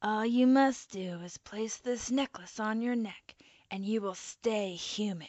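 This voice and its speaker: Someone uses a put-on character voice at a fairly slow pace, with ordinary pitch variation. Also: woman, fairly high pitch for a woman. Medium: read story. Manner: grave, foreboding.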